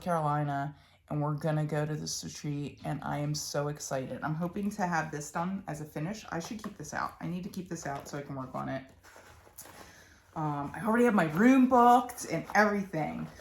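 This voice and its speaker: Her pitch is very deep and low for a woman. She speaks at a moderate pace with lively intonation. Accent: Philadelphia. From Philadelphia, Pennsylvania. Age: 30s. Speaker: cross-stitch vlogger. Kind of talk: casual chat. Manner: chatty, with many fillers.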